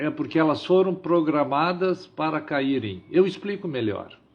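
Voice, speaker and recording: Using a normal speaking voice, a man talks at a fairly slow pace with fairly high pitch and lively intonation. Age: 60s. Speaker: livestream host. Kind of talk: live stream monologue. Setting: live stream.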